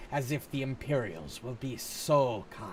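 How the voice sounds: A man does a put-on character voice at a medium pitch, with clear background noise and a hissing sound behind him.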